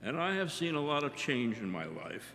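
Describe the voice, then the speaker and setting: With vocal fry and lively intonation, a man talks at a moderate pace. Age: 70s. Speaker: audience member, geography teacher. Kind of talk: audience question.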